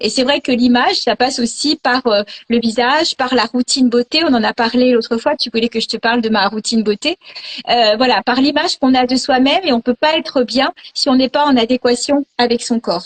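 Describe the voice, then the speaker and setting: A high-pitched woman at a fairly quick pace, with ordinary pitch variation, very even loudness and a dry, close sound with no echo. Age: 60s. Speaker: image consultant. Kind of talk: casual chat. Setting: video call.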